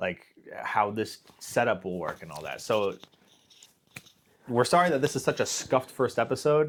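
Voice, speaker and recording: With long, frequent pauses, a man speaks using lively intonation and big swings in loudness. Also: medium pitch for a man. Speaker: podcast co-host. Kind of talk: casual chat. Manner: fast.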